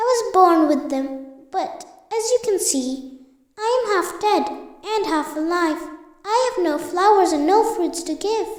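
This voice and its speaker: In a put-on character voice, someone speaks at a moderate pace with long, frequent pauses and a slight echo. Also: woman, extremely high pitch for a woman. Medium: read story.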